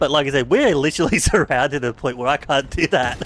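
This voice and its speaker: A very fast man with an Australian accent, over noticeable background noise. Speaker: streamer. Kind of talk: casual gaming chat. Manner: animated.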